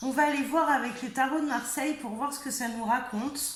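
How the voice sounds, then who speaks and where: A woman speaks in a high pitch with fairly even intonation. Audible room echo surrounds her voice. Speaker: tarot reader and medium. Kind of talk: tarot reading. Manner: halting, many hesitations.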